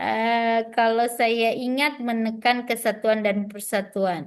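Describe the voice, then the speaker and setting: A woman speaks in a shrill voice at a fairly high pitch. The background is quiet. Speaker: trainer for new civil servants. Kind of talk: online training session, quizzing participants. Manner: lively, interactive.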